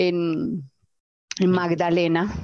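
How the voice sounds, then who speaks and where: A woman is heard against a quiet background in a dry, close sound with no echo. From Colombia, Antioquia (Itagüí). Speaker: agritech founder, zootechnician. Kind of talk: personal storytelling interview. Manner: candid, unfiltered.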